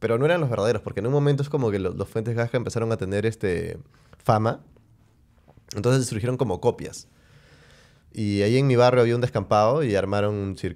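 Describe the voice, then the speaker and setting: Over a quiet background, a man with a medium pitch and ordinary pitch variation talks at a very fast pace, broken by long, frequent pauses. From Peru. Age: 30s. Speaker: podcast host; podcast host or guest. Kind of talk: casual chat. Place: studio. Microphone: studio mic.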